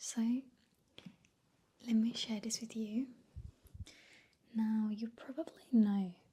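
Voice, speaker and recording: A woman's very slow, somewhat breathy voice, fairly high in pitch, with a dark, mellow tone, fairly even intonation and long, frequent pauses. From Spain. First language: Spanish. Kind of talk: ASMR soft-spoken talk to camera. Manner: soft-spoken, relaxing.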